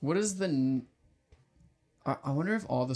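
A man with an unremarkable speaking voice, ordinary pitch variation, and a moderate pace. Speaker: podcast co-host. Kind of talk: casual banter, comedic podcast discussion, recaps plot. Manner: jokey, playful, conversational.

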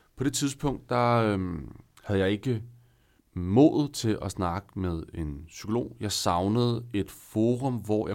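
The recording is very clean, with a silent background. A man speaks at a fairly low pitch with ordinary pitch variation. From northern Zealand, Denmark. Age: 30s. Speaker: guest sharing personal story. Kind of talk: personal testimony. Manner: hesitant, many fillers.

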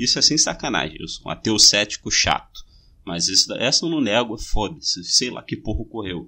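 In a Rio de Janeiro accent, a man with a medium pitch and a bright, sharp tone speaks at a moderate pace with ordinary pitch variation. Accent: Rio de Janeiro Portuguese (carioca). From Brazil, Rio de Janeiro (Bangu). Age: 20s. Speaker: podcast host. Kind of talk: casual chat.

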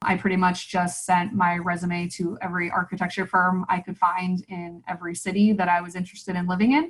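Speaking at a fairly quick pace with an American accent, a woman's medium-pitched voice comes across somewhat breathy. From Nebraska, US Midwest. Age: 30s. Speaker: marketing consultant. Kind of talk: interview.

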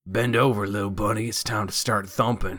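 Putting on a raspy character voice with a Southern US accent, a man talks at a fairly quick pace and a fairly low pitch. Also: fairly even intonation. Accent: southern drawl. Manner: menacing, taunting.

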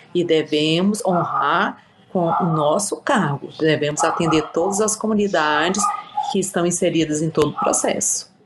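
Noticeable background noise sits behind a woman speaking at a fairly low pitch and a fairly slow pace, with ordinary pitch variation. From Brazil, Piauí. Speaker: city councillor and lawyer. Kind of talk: interview.

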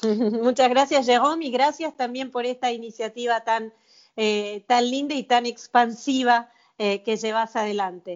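Her pitch high, a woman talks at a fairly slow pace with fairly even intonation. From Argentina, Mar del Plata. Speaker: tango singer and physicist. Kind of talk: interview. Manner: halting, many fillers.

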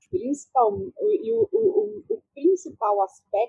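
A dark, mellow voice moves at a very slow pace with very wide pitch swings. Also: woman. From Brasília, Vila Planalto. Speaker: author and researcher. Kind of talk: interview.

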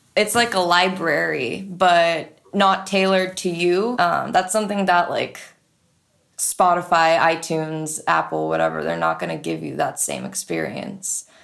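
A woman with a Californian accent at a fairly slow pace. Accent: Californian American. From San Francisco, US. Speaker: radio DJ and music supervisor. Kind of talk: casual interview chat.

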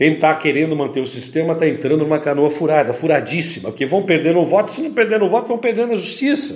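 A man's fairly high-pitched, animated voice at a very fast pace, with lively intonation over noticeable background noise. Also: hardly any pauses. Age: 60s. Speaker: engineer running for council office. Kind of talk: campaign podcast monologue.

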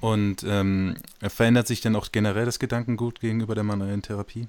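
With monotone, flat intonation, a man with a fairly low pitch speaks at a fairly quick pace on a very clean recording with a silent background. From Switzerland. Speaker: podcast host. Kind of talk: interview.

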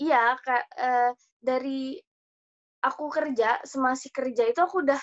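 A woman speaks in a high pitch, with a dry, close sound and no echo. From Indonesia. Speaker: au pair. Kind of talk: casual interview.

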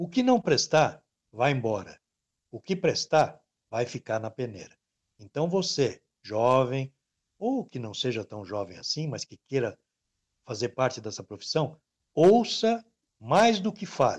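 Very wide pitch swings and big swings in loudness mark this man's medium-pitched delivery, which runs at a fairly slow pace with long, frequent pauses. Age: 60s. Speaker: sports radio presenter. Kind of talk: casual interview chat.

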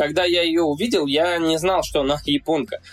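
A man has an unremarkable speaking voice. His pitch is fairly high and his pace moderate. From Russia, Saint Petersburg. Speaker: YouTuber and athlete. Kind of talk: casual interview chat.

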